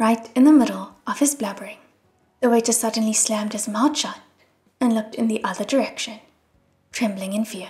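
A woman's delivery runs fairly quickly. Her pitch holds fairly even. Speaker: audiobook narrator. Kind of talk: audiobook reading.

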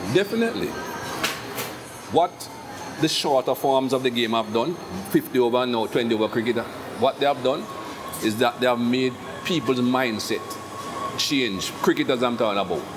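A man speaks at a fairly quick pace with long, frequent pauses and ordinary pitch variation against noticeable background noise. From Jamaica. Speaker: former cricket fast bowler. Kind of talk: interview answer. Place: cafe.

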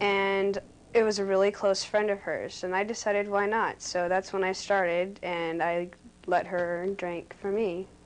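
With monotone, flat intonation, a woman talks at a fairly slow speed. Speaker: interviewee. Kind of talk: interview answer. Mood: relaxed, smiling. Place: home room.

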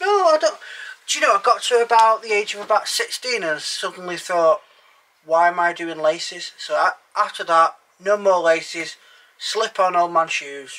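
A man speaks at a high pitch. His voice is raised and projected. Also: moderate pace. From England. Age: 30s. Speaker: narrowboat vlogger. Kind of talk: casual chat. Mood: jokey, lively. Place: boat.

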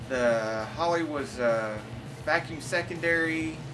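With music in the background, a man speaks with ordinary pitch variation. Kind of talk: interview answer. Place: home room. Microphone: phone near.

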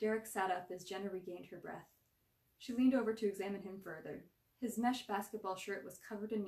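Unforced voice reading a text

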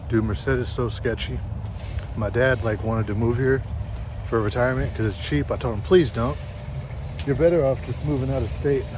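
A man talks at a fairly quick pace. The sound is dry with no echo, and there is noticeable background noise. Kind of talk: casual vlog chat. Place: street. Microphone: phone near.

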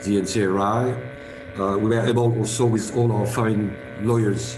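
The speaker is a man with fairly even intonation. Noticeable background noise runs underneath. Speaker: lawyer speaking at an online conference. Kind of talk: conference speech. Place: home room. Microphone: video call.

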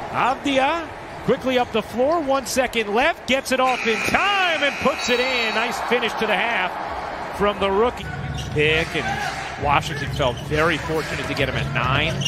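A man's extremely high voice with very wide pitch swings, at a moderate pace over noticeable background noise. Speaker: basketball play-by-play announcer. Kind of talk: live play-by-play game commentary. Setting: broadcast over game footage.

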